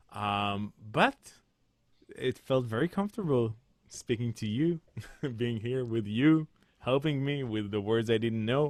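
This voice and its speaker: A man speaks at a fairly slow pace with long, frequent pauses. His medium pitch shows ordinary variation. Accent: Israeli. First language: Hebrew. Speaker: composer and musical director. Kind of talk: webinar conversation. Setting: video call. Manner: halting.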